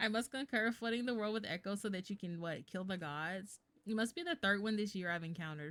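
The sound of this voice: An unforced reading voice is heard. Variation in pitch stays ordinary.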